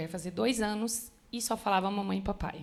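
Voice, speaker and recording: The recording is very clean with a silent background, and the pitch varies in an ordinary way. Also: woman. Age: 20s. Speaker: church member sharing testimony. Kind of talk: testimony. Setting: church women's conference.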